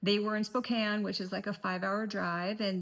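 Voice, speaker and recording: Somewhat breathy, the voice keeps to a moderate pace. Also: woman. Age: 50s. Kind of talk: casual talk to camera.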